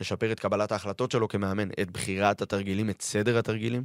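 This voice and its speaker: In a very clean recording with a silent background and a dry, close sound with no echo, a man speaks at a moderate pace with a fairly low pitch and fairly even intonation. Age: 30s. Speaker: football fitness coach. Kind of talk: podcast interview. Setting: radio studio.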